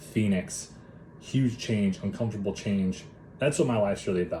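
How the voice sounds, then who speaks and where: This man, with an American accent, has a fairly low pitch and a dark, mellow tone that is somewhat breathy, and he talks at a fairly quick pace. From Minnesota, US Upper Midwest. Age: 20s. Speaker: mindset and body transformation coach. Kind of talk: personal story monologue. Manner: casual, talkative.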